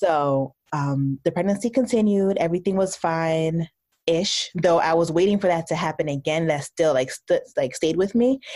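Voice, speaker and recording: In a very clean recording with a silent background, a woman with an American accent talks at a moderate pace in a fairly low pitch, with a dark, mellow tone, ordinary pitch variation, and very even loudness. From New Jersey. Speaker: doctor and podcast host. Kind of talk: casual interview.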